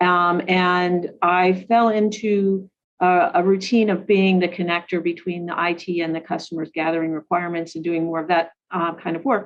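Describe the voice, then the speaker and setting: A woman speaks at a moderate pace with hardly any pauses. Her fairly low voice stays monotone and flat. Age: 60s. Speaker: government IT executive. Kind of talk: interview. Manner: halting, many fillers.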